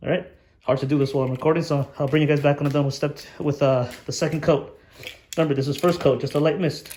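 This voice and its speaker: At a very fast pace, a man speaks in a dark, mellow tone, somewhat breathy and with monotone, flat intonation. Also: fairly high pitch for a man. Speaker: RC hobbyist video maker. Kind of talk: tutorial. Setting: garage. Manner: casual, informal.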